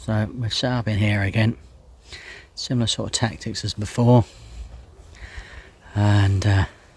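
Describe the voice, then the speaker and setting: A man's fairly low, somewhat breathy voice, fairly slow and fairly even in intonation, with long, frequent pauses. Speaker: angler vlogger. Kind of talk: casual vlog narration. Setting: outdoors by a lake. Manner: hesitant, filler-heavy.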